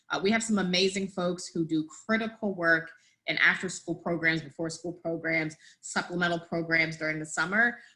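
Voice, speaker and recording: A woman with a fairly low pitch and a bright, sharp tone speaks fairly quickly with fairly even intonation. The recording is very clean, with a silent background. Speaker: work group member presenting a memo. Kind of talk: meeting presentation. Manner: fast.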